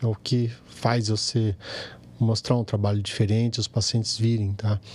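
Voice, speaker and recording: Somewhat breathy and at a moderate pace, a man speaks at a medium pitch with monotone, flat intonation. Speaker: plastic surgeon. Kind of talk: casual chat.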